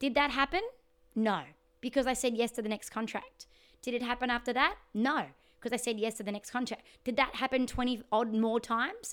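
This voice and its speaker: A woman with an Australian accent speaks at a high pitch and a fairly quick pace. Her tone is animated. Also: ordinary pitch variation. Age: 30s. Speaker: podcast host, singer and life coach. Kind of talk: casual interview chat. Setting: remote call.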